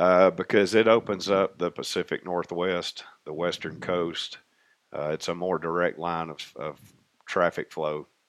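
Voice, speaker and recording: A man with a Tennessee accent speaks at a fairly slow pace in a very deep, low pitch. His intonation is fairly even, his loudness swings widely, and the background is quiet. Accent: Southern US, Tennessee. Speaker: railroad maintenance contractor. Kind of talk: casual interview.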